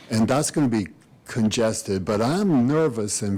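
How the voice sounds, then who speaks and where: In an American accent, a man speaks at a moderate pace with a medium pitch, ordinary pitch variation and a dark, mellow tone. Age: 70s. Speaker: resident speaking at public meeting. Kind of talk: public comment. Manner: halting.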